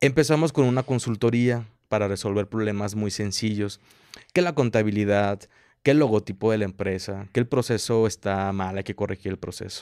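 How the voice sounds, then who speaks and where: A man talks at a moderate pace, with a fairly low pitch and ordinary pitch variation. The sound is dry with no echo, over a quiet background. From Mexico. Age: 20s. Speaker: entrepreneur, business incubator director; interview guest. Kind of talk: interview. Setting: coworking space. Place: studio. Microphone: studio mic.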